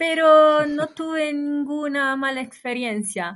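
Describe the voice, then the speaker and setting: A woman with an Italian accent against a quiet background. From northern Italy, Imola. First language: Italian (speaking Spanish). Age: 30s. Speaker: long-term traveller. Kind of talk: casual interview.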